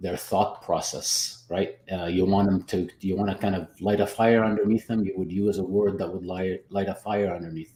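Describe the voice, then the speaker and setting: A man's fairly low-pitched voice with a dark, mellow tone and a non-native accent. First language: not English. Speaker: business coach and photographer. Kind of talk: casual panel chat. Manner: halting, many repetitions.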